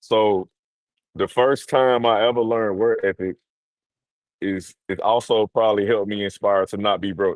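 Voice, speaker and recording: At a moderate pace, a man talks in a fairly low pitch with fairly even intonation and long, frequent pauses. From US South, Mississippi. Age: 30s. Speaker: entrepreneur and investor. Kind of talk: interview. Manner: casual.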